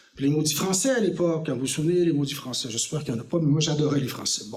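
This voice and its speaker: A man talks very fast, with audible room echo and noticeable noise behind him. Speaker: former politician. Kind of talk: lecture. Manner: hesitant, with fillers.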